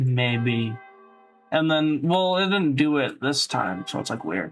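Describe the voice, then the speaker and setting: Music plays in the background as a man speaks very slowly at a fairly high pitch with lively intonation. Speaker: tutorial creator. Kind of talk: tutorial. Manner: loud; casual, hesitant with fillers.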